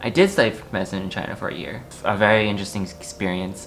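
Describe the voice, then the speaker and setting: A man speaks very fast in an American accent, with noticeable background noise behind him. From US Northeast (New Jersey). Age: 20s. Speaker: technology consultant. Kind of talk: casual interview. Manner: halting, with many repeats and fillers.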